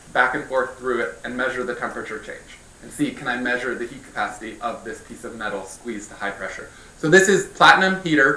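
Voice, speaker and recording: A man with a fairly high voice talks at a fairly quick pace, his loudness swinging widely. Room echo can be heard. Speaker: physics researcher. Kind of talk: scientific lecture. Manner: fast. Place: hall.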